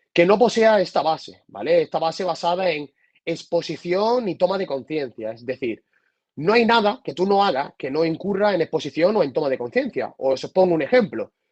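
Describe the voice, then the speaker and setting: With an Andalusian accent, a man talks at a high pitch using lively intonation. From Andalusia, Spain. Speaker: psychotherapist. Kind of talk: lecture. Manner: fast.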